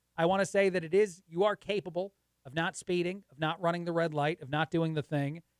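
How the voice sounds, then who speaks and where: At a fairly quick pace, a man speaks with ordinary pitch variation in a dry, close sound with no echo. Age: 40s. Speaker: guest radio host. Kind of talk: talk radio monologue. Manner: fast; laughs at own jokes.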